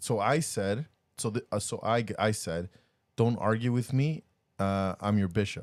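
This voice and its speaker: A man talks at a fairly slow pace. His pitch is fairly low, with ordinary variation. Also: very clean recording, silent background. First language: not English. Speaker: podcast co-host and church bishop. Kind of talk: casual chat. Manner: halting.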